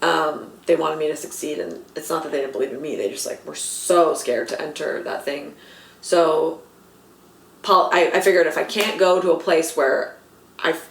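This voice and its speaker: With an American accent, a woman speaks in an animated tone at a moderate pace, her loudness swinging widely. Audible room echo and noticeable background noise surround her. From Los Angeles, US West Coast. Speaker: comedy writer and actor. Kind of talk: casual interview chat. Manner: animated, lots of fillers.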